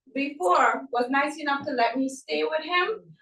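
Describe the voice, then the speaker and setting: With a Trinidadian accent, a woman speaks at a high pitch in a bright, sharp tone with lively intonation. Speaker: event participant. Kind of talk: testimony.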